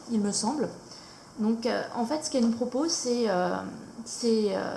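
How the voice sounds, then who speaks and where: Noticeable background noise and audible room echo under speech with ordinary pitch variation. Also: woman. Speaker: YouTuber showing coloring books. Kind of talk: casual product review. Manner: hesitant, many fillers.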